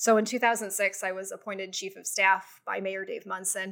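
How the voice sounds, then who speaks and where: This woman has an ordinary speaking voice and a medium pitch, with an American accent. She talks at a fairly quick pace. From US Midwest, Cleveland suburbs, Ohio. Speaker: business journalist and media owner. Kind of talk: interview.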